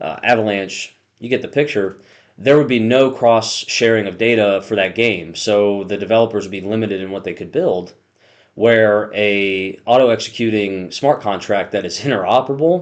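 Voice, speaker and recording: A man speaks in an unremarkable speaking voice at a fairly low pitch, with ordinary pitch variation and a moderate pace. The background is quiet. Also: big swings in loudness. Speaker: crypto YouTuber. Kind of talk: casual explainer video.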